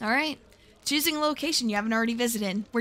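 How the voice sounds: A natural voice for reading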